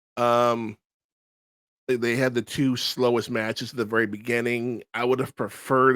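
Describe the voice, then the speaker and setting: The sound is dry and close with no echo as a man speaks at a moderate pace and medium pitch. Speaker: wrestling podcast host. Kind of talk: casual review monologue. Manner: hesitant, many fillers.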